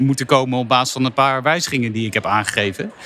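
A man's medium-pitched voice carries through noticeable background noise. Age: 30s. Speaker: sports data analyst. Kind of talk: casual chat. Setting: company office.

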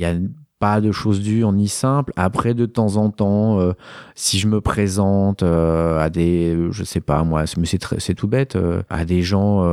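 The recording is very clean, with a silent background and a dry, close sound with no echo. A man with a dark, mellow tone speaks at a fairly slow pace and with fairly even intonation. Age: 40s. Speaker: photographer. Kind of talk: interview testimony. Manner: hesitant, many fillers.

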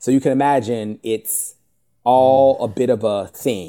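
A man's normal speaking voice at medium pitch with an American accent, fairly even in intonation, on a very clean recording with a silent background. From US South, Richmond, Virginia. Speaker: TV network marketing executive. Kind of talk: interview conversation.

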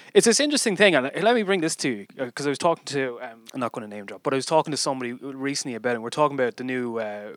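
A man in a Dublin accent, medium in pitch with lively intonation at a very fast pace, on a very clean recording with a silent background. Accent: Irish (Dublin). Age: 30s. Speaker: podcast host. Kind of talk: casual chat.

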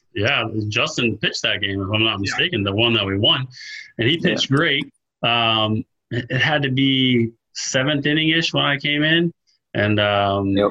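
A man with an American accent has an ordinary speaking voice at a medium pitch. He talks at a moderate pace with lively intonation and very even loudness. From Florida, Melbourne. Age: 40s. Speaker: college baseball coach, former pitcher. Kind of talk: casual interview.

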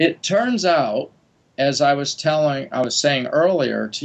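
A man with an American accent, at a fairly slow pace, with ordinary pitch variation. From US Midwest (Wisconsin). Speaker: geneticist. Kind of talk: casual chat.

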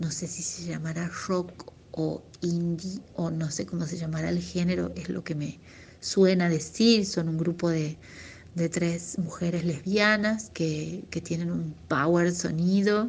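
A woman speaks at a very slow pace with a fairly low pitch. Her voice is somewhat breathy. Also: fairly even intonation. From Argentina, Tucumán (Tafí Viejo). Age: 40s. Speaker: singer-songwriter and music teacher. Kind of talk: interview.

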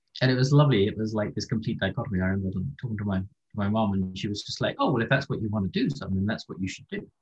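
A somewhat breathy, fairly low man's voice at a very fast pace, with hardly any pauses and ordinary pitch variation. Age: 50s. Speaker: ocean scientist. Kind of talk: interview.

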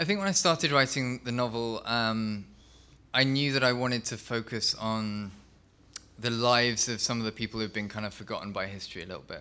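With an English accent, a man talks at a fairly quick pace, his medium pitch showing ordinary variation and a bright, sharp tone. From England. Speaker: novelist. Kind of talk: interview conversation.

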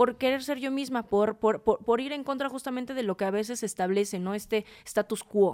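A woman speaks at a moderate pace in an ordinary speaking voice, with ordinary pitch variation. The recording is very clean with a silent background, and the sound is dry and close with no echo. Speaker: fashion stylist and image consultant. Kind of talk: casual chat.

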